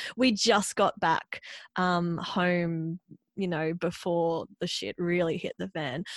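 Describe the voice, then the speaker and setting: With an Australian accent, a woman speaks at a very slow pace and fairly low pitch. Her intonation is fairly even, and the sound is dry and close with no echo. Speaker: podcast host, dietitian and yoga teacher. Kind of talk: casual interview chat; scripted podcast intro and outro. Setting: remote call.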